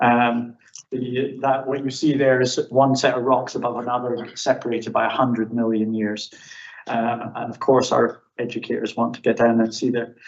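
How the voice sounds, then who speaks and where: A man with a Scottish accent, medium-pitched, at a moderate pace, in a flat monotone. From Scotland. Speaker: professor. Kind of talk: conference presentation. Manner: hesitant, many fillers.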